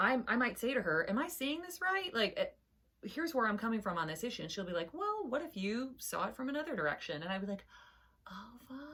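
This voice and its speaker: Loud and animated, a woman speaks at a very fast pace in a high pitch with very wide pitch swings. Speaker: podcast co-host. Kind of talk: casual chat.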